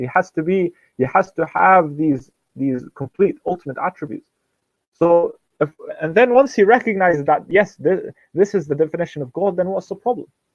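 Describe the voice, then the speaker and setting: Music plays in the background as a man with a high pitch talks at a fairly quick pace with lively intonation. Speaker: imam and Islamic teacher, public speaker. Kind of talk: religious lecture to a small audience. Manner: explanatory, rhetorical, mixing Arabic phrases into English.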